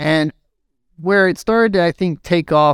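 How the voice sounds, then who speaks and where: A man with a plain, everyday voice talks at a moderate pace with ordinary pitch variation, the sound dry and close with no echo in a very clean recording with a silent background. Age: 30s. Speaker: IT systems administrator and jiu-jitsu competitor. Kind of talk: casual interview chat.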